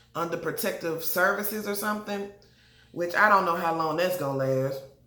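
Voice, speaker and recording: A woman with a fairly low pitch speaks fairly quickly in an animated tone with ordinary pitch variation, over noticeable background noise and audible room echo. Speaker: TV show reviewer. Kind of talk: casual TV recap. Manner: fast.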